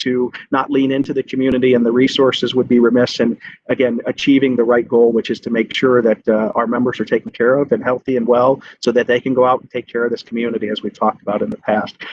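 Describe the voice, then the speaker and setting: A man speaks very fast at a medium pitch, his intonation monotone and flat. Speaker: police chief. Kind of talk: committee meeting report. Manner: halting, many fillers.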